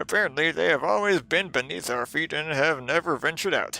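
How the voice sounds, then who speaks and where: A man puts on a character voice at a fairly high pitch while faint music plays in the background. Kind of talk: in-character reading of a game journal.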